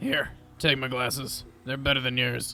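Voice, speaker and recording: A man puts on a gruff, raspy character voice at a medium pitch and a moderate pace. His intonation is monotone and flat, with clear background noise. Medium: audio drama. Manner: terse, gruff.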